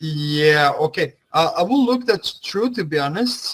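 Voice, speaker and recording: A man with a Flemish accent speaks in a fairly high voice. His pace is moderate and his pitch varies in an ordinary way. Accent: Flemish Dutch accent in English. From Belgium (Flanders). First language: Dutch. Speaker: language teacher. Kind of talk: online class. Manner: hesitant, many fillers.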